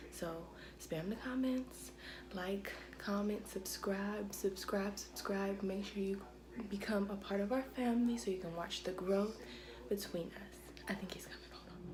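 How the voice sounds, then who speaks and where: Against noticeable background noise and audible room echo, a woman speaks at a fairly slow pace. Her medium-pitched voice has fairly even intonation but big swings in loudness. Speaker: vlogger. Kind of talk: casual vlog. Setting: at home in apartment.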